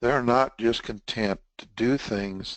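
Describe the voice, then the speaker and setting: A man with a Texan accent speaks at a very slow pace and medium pitch. The background is quiet. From Texas. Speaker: webinar presenter, test management trainer. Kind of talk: webinar lecture. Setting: online webinar broadcast. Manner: casual, conversational.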